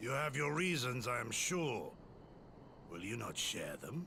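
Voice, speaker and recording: Over clear background noise, a man does a raspy, put-on character voice at medium pitch, with lively intonation and a fairly slow pace. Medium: video game. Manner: calm, measured, formal.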